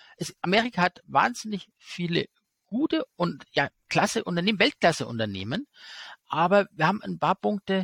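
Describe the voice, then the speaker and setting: A man's high-pitched voice, lively intonation, moderate pace, and a dry, close sound with no echo. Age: 40s. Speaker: investor and finance YouTuber. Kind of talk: casual interview.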